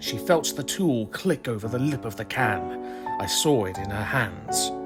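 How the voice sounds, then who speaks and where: Music plays in the background as the voice moves at a fairly slow pace with very wide pitch swings. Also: man, fairly low pitch for a man. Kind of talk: dramatic reading of a social media thread.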